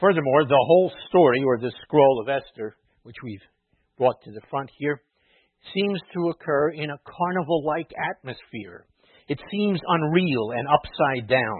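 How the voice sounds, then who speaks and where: With an unremarkable speaking voice, a man talks at a fairly slow pace in a fairly high pitch, his loudness swinging widely. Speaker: rabbi or clergy preacher. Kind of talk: sermon with a mock carnival-barker routine. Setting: synagogue or church with congregation.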